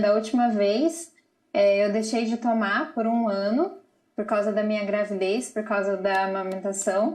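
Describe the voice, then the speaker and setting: Here a woman talks in an unremarkable speaking voice at a fairly high pitch. Her pace is fairly slow, with ordinary pitch variation. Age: 30s. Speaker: mother with bipolar disorder, channel owner. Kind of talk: live TV interview.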